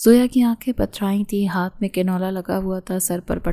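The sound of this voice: The reading voice in this clip is unforced.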